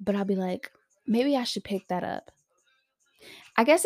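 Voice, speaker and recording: A woman of medium pitch talks at a moderate pace with lively intonation and an animated tone. The sound is dry and close, without echo. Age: 20s. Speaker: solo podcast host. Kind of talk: casual monologue.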